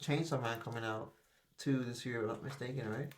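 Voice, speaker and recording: Audible room echo surrounds a man whose somewhat breathy voice has ordinary pitch variation. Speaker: podcast co-host. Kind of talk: casual chat.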